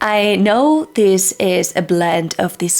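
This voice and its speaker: A woman speaks at a medium pitch with a non-native accent and ordinary pitch variation. Noticeable background noise can be heard. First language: not English. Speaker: book reviewer. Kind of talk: casual video review.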